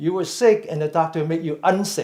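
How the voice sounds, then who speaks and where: With vocal fry and a fairly high pitch, a man talks at a moderate pace amid audible room echo. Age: 60s. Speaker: mindful fitness and meditation teacher. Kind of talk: lecture. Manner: halting.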